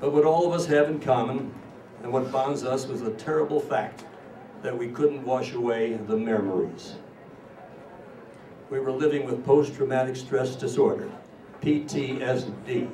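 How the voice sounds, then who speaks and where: A man with an American accent talks at a moderate pace and medium pitch, with fairly even intonation and long, frequent pauses. Audible room echo and noticeable background noise are present. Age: 80s+. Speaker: war veteran. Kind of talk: speech to an audience. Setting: stage with audience.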